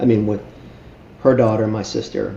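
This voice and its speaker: A fairly low-pitched male voice with monotone, flat intonation, audible room echo and noticeable background noise. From Miami, Florida (Cuban-born). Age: 60s. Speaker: charity founder. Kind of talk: interview. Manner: halting, many fillers.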